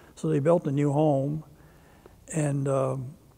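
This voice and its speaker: With noticeable background noise behind him, a man with a fairly high pitch speaks in an American accent. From Maryland (Brooklyn, near Baltimore). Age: 80s+. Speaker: war veteran. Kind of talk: oral history interview. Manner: halting.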